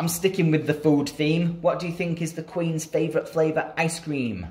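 The tone is slightly mellow, and the pace is moderate. Intonation stays fairly even. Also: man, fairly high pitch for a man.

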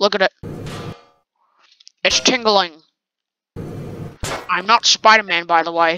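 A female-sounding put-on character voice speaks at a middle pitch. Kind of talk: pirate talk. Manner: whiny, rambling.

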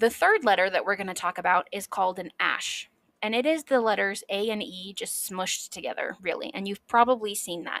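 Recorded dry and close with no echo, a woman speaks at a moderate pace in an animated, bright, sharp tone, her medium pitch showing ordinary variation. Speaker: history podcast host. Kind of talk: solo educational monologue. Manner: excitable.

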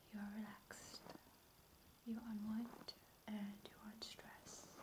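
Soft-spoken whispering comes at a very slow pace in a soothing tone. Noticeable background noise sits underneath. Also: woman. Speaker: personal attention roleplay host. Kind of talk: soft soothing roleplay talk. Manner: soft soothing whisper. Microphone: phone near.

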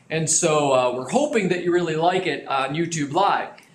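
In a room with audible echo and light background noise, a man talks at a moderate pace in a high voice. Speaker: business trainer. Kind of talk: lecture. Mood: friendly, lightly humorous. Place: studio.

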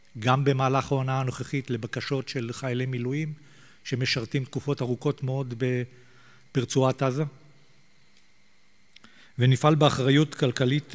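A man at a moderate pace, with monotone, flat intonation. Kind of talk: formal prepared statement. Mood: solemn, resolute. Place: hall. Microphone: podium.

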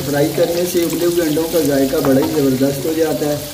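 Clear background noise runs behind the recording. A man speaks with a fairly high pitch.

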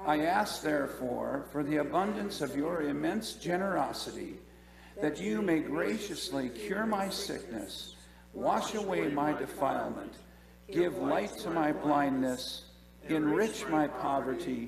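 The speaker is a man with a fairly slow pace. Noticeable background noise runs underneath. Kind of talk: liturgical prayer reading. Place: church. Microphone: podium.

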